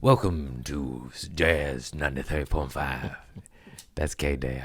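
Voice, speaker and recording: A man performs a put-on character voice with a very deep, low pitch. His delivery is fairly slow. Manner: smooth, mellow.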